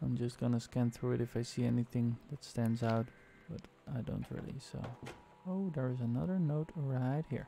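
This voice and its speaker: A soft-spoken man talks at a medium pitch. His pitch variation is ordinary. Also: moderate pace. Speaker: gaming streamer. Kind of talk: let's play commentary.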